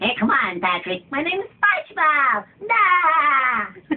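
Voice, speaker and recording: A cartoonish character voice with a high pitch swings very widely in pitch while talking at a very slow pace. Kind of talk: cartoon impressions. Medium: game stream.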